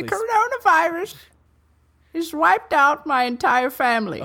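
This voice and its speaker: A put-on character voice runs high in pitch at a moderate pace. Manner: grave and deadpan.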